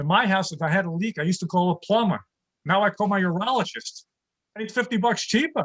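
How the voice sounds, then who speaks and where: A man talks very fast in a high voice. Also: ordinary pitch variation. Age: 60s. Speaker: stand-up comedian. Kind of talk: stand-up. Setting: video call.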